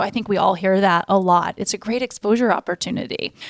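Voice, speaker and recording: With an American accent and a normal speaking voice, a woman speaks at a medium pitch and a fairly quick pace with fairly even intonation, in a very clean recording with a silent background and a dry, close sound with no echo. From Florida. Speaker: photographer and podcast host. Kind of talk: casual chat.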